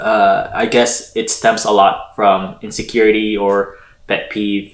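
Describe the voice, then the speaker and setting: A man with a Filipino accent at a very slow pace. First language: Tagalog. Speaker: podcast co-host. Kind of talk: casual chat.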